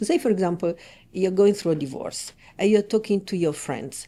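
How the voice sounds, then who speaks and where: A woman with an Italian accent speaks with lively intonation and a dark, mellow tone, recorded very cleanly against a silent background. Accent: warm Italian. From Italy, Rome. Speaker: relationship coach. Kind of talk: podcast interview.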